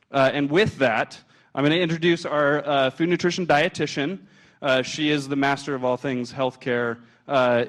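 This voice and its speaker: A man speaks at a moderate pace with ordinary pitch variation. His voice is fairly high, and the background is quiet. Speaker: hospital food service chef. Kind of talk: presentation to an audience. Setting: stage with audience, handheld mic. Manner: loud; hesitant, many filler words.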